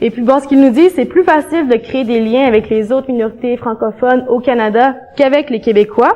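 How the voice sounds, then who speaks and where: A woman with a Quebec accent speaks at a moderate pace in a high voice with ordinary pitch variation. Background noise is noticeable. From eastern Quebec, rural village. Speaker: graduate student researcher. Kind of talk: academic conference talk. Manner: conversational, hesitant with fillers.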